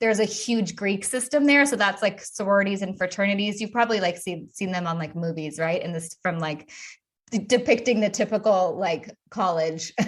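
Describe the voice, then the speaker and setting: Somewhat breathy, a woman in an American accent talks at a fairly quick pace. Her pitch varies in an ordinary way. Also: medium pitch for a woman. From US West Coast, Los Angeles. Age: 30s. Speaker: sobriety coach. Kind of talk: interview testimony. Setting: podcast interview.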